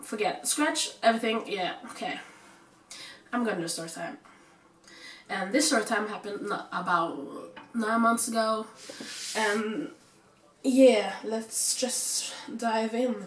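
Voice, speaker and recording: A woman with a fairly high pitch speaks at a fairly slow pace, using long, frequent pauses and ordinary pitch variation. Noticeable background noise is present. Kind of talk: casual storytime talk to camera. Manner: casual, chatty.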